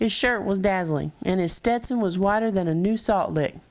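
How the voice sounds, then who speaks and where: Speaking with a Texas accent, a woman at medium pitch talks at a moderate pace with lively intonation. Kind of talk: children's story read-aloud.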